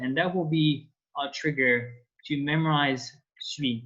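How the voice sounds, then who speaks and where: A man with a French accent talks at a fairly slow pace and a fairly high pitch. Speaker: French teacher. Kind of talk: online language lesson. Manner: hesitant, many fillers.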